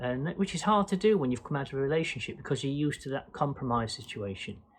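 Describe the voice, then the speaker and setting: Lively in intonation, a man speaks in a fairly high, somewhat breathy voice. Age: 60s. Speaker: vlogger, boat dweller. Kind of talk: casual Q&A vlog monologue. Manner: hesitant, many fillers.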